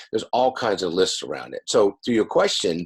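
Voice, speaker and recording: At a moderate pace, a man talks with music in the background. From US West Coast, San Diego California. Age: 60s. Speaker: addiction recovery coach and author. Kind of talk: interview.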